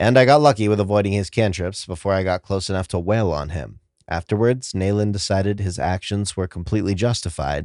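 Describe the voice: What we hear is plain reading aloud.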